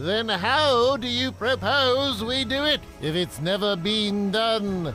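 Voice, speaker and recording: Over clear background music, a man uses a cartoonish character voice pitched high, speaking at a fairly slow pace. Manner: formal, old-fashioned exclamations.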